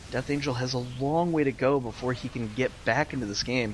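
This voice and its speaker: A man with an ordinary speaking voice talks at a medium pitch and a moderate pace. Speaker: game caster. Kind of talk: live game commentary.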